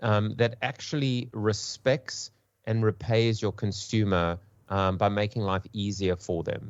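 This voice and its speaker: Someone speaks at a fairly slow pace with a South African accent. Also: man. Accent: pseudo South African. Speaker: marketing panelist. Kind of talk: panel discussion. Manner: halting, repeats words.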